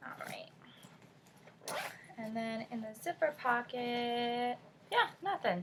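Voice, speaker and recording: At a very slow pace, a speaker with an American accent talks with lively intonation over noticeable background noise. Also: woman. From California. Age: 20s. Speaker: beauty and lifestyle vlogger. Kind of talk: casual chat.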